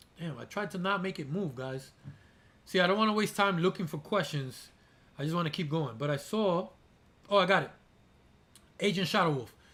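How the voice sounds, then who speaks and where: A loud man with a high pitch, an animated, bright and sharp tone, a fairly quick pace, and long, frequent pauses. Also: ordinary pitch variation. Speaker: aquarium YouTuber. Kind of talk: live stream Q&A. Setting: live stream.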